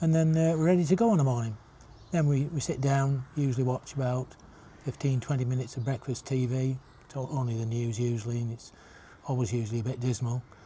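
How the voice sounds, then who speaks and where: A man speaks very fast in a northern English accent, his medium-pitched voice dark, mellow and somewhat breathy, with fairly even intonation. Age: 70s. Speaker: retirement vlogger. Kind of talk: casual vlog monologue. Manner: halting, many fillers.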